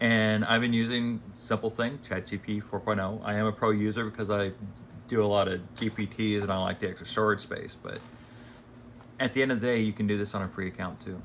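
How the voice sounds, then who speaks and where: A man's monotone, flat delivery at a fairly quick pace. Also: fairly low pitch for a man. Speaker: AI consultant and channel host. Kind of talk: casual talking-head video. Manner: halting, stumbles over words.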